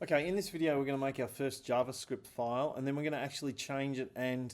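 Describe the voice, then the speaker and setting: Here a man speaks with fairly even intonation. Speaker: computer science teacher. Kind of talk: tutorial. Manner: casual, with frequent fillers; fast.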